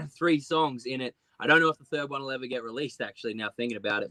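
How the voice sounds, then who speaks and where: Spoken with an Australian accent, this voice has a bright, sharp tone, moves at a very fast pace, and keeps a fairly even intonation. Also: man. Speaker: singer-songwriter. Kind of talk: interview. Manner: halting, stuttering.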